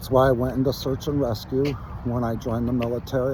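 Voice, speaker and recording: In a room with audible echo, a man talks in a monotone with flat intonation. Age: 60s. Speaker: military veteran, commentator. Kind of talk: casual monologue. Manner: casual, profane.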